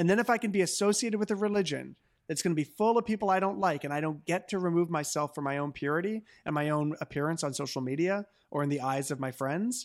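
A man with a Canadian accent talks at a very fast pace in a high pitch with lively intonation. The recording is very clean, with a silent background. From Canada, Hamilton, Ontario. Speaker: pastor and author. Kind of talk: interview conversation.

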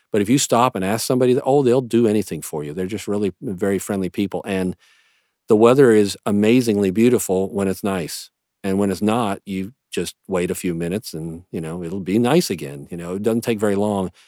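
In a very clean recording with a silent background, a man talks at a fairly quick pace with an American accent. His fairly low voice has a dark, mellow tone, ordinary pitch variation, and a dry, close sound with no echo. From US East Coast. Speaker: family doctor. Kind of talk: casual interview.

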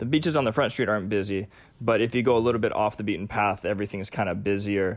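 A man's fairly low voice, very fast, with ordinary pitch variation and an American accent. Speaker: paramedic. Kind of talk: casual chat.

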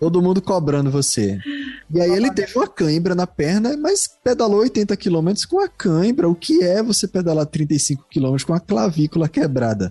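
Speaking with a Recife accent at a moderate pace, the voice swings very widely in pitch and holds a very even loudness, with a dry, close sound free of echo and noticeable background noise. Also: man, high pitch for a man. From Recife, Brazil. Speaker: podcast host. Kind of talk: casual chat.

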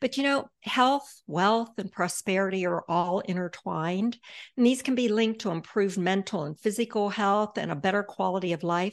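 Here is a woman with an ordinary speaking voice, pitched in the medium range with ordinary pitch variation. She talks at a moderate pace against a quiet background. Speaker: podcast host, financial advisor. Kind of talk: casual interview.

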